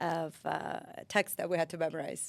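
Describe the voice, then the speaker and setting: Fairly low female speech, very clean recording, background entirely silent. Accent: Armenian. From Armenia, Yerevan; moved to US at 14-15. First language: Armenian. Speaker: lawyer. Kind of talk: casual interview.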